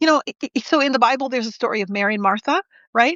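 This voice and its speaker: Pitch varying in an ordinary way, a woman rattles along at a very fast pace. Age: 50s. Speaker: spiritual live-stream host, reverend. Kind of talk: casual chat.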